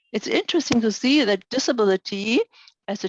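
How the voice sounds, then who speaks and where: A woman speaks at a fairly high pitch with a German accent and lively intonation. The background is quiet, and the sound is dry and close with no echo. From Germany. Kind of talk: webinar lecture Q&A. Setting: online webinar. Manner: halting, many fillers.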